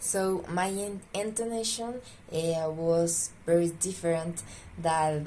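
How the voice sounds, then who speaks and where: Speaking very slowly, a woman's voice carries audible echo from the room. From Pasto, southern Colombia. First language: Spanish. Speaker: student. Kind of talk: self-introduction monologue. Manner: drawling intonation; halting, many fillers.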